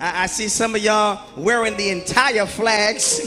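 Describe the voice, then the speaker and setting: Clear music sounds in the background. A man speaks in a raised, projected voice. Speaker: service host at lectern. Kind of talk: church service welcome. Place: church. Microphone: handheld.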